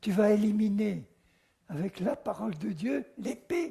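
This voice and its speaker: This man's voice sits at a high pitch. His tone is dark and mellow. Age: 80s+. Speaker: Bible teacher. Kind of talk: sermon.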